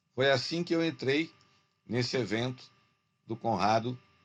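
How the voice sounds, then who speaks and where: A man speaks with lively intonation. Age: 70s. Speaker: university lecturer turned online entrepreneur. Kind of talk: business video meeting complaint. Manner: halting, with many fillers and restarts.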